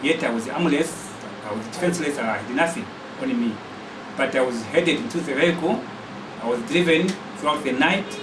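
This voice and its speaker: A man with a Zambian accent and fairly high pitch, swinging widely in pitch at a fairly quick pace with long, frequent pauses, amid audible room echo and noticeable background noise. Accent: Zambian (Lozi) English. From Barotseland, western Zambia. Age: 60s. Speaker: political activist. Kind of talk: testimony.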